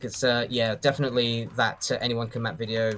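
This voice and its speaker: With monotone, flat intonation, a man talks at a fairly quick pace and a medium pitch. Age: 30s. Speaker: doom mapper and video creator. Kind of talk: casual chat.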